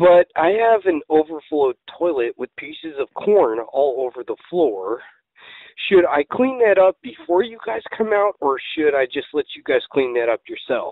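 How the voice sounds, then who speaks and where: A man's voice, dry with no echo, over a quiet background. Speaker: caller. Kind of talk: prank phone call. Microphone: phone line.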